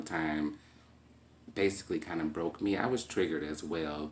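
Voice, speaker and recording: A man's very deep, low voice in a calm tone with fairly even intonation. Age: 20s. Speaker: vlogger talking about mental health. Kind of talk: personal monologue vlog. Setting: at home.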